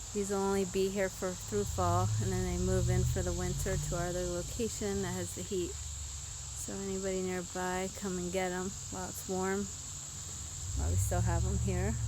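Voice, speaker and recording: A woman talks at a moderate pace. The sound is dry with no echo, but background noise is noticeable. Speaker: garden centre owner. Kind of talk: walking tour. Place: garden. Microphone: phone near.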